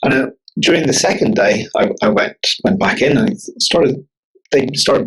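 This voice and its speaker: A man with a Northern Irish accent talks at a moderate pace. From Northern Ireland, near Belfast. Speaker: bodyworker and author. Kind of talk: podcast interview. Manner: halting, many repetitions.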